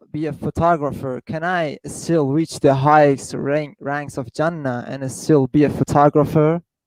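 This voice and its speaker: In a dry, close recording with a quiet background and no echo, a man with a non-native accent speaks at a moderate pace in a fairly high, flat, monotone voice. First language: not English. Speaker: caller. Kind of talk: Q&A question. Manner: quiet at first.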